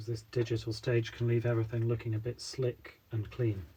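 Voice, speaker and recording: Somewhat breathy, a man's medium-pitched voice carries a dark, mellow tone. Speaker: illustrator. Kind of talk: tutorial. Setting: livestream.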